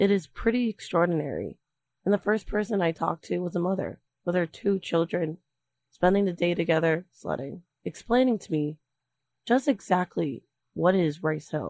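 In a dry, close sound with no echo, a woman with a normal speaking voice talks at a moderate pace, her fairly low pitch showing ordinary variation. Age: 20s. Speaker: student radio reporter. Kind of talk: feature narration.

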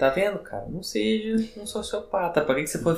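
A man's voice carries an audible room echo. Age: 20s. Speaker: psychologist. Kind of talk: casual chat.

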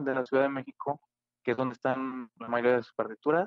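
Very fast in pace, a man talks at a medium pitch. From Mexico, Aguascalientes. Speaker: classical guitarist and composer. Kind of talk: interview.

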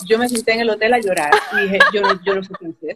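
A woman speaks at a fairly quick pace in a plain, everyday voice with a fairly high pitch. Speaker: immigration adviser. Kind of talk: interview.

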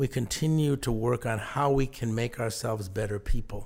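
A man speaks with an American accent at a moderate pace. His voice is somewhat breathy. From southern New England (Mystic, Connecticut). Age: 60s. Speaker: leadership and management consultant. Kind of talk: interview.

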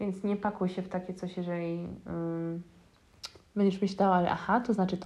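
Her loudness swinging widely, a woman speaks at a medium pitch and fairly quick pace in a monotone, flat intonation. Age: 20s. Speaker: spiritual mentor and coach, podcast host. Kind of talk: solo podcast monologue.

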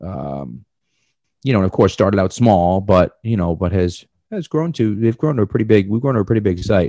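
With a Boston accent, a man talks in a fairly low pitch. His intonation is lively and his pace moderate. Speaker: podcast co-host and sports writer. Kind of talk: casual chat. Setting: remote podcast interview.

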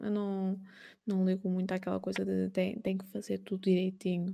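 Keeping to a moderate pace, a woman of medium pitch speaks in a dark, mellow tone with monotone, flat intonation. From Portugal. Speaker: painter and art streamer, stained-glass artisan. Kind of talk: interview. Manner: halting.

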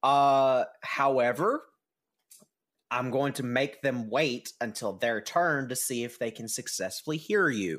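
A man with a plain, everyday voice speaks at a fairly slow pace, his medium pitch showing ordinary variation. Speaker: dungeon master. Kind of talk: tabletop roleplaying game narration.

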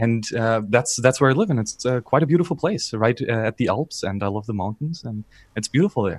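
Lively in intonation, a man with a German accent talks at a fairly quick pace and medium pitch. The sound is dry and close, with no echo. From southern Bavaria, Germany. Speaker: YouTube content creator. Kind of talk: podcast interview.

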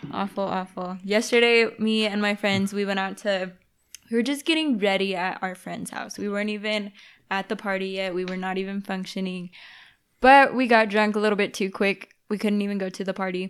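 On a very clean recording with a silent background, a woman speaks in a normal speaking voice at a medium pitch and a fairly quick pace, her intonation fairly even. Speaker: real estate agent.

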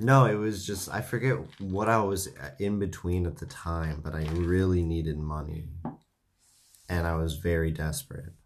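Very deep and low, a man's voice with an American accent moves at a moderate pace with ordinary pitch variation, in a room with audible echo. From United States. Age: 20s. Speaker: podcast host. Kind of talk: casual chat. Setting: home studio.

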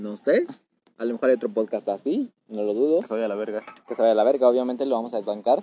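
A man with a medium pitch talks at a very fast pace, varying his pitch in an ordinary way. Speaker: podcast host. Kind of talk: casual chat.

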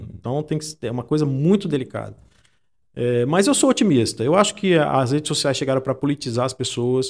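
Using an unremarkable speaking voice, a man talks fairly quickly at a fairly high pitch with ordinary pitch variation. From Brazil, Espírito Santo (Santa Teresa). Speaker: journalist and data analyst. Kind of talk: interview conversation. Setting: studio, in person.

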